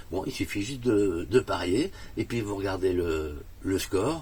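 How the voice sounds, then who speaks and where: This man's voice is very deep and low. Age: 60s. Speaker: customer testimonial, theatre owner. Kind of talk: testimony. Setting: in a camper van. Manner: hesitant, many fillers.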